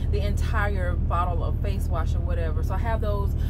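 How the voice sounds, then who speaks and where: Through loud background noise, a woman talks at a fairly quick pace. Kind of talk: casual vlog chat. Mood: relaxed, chatty. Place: car. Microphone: phone near.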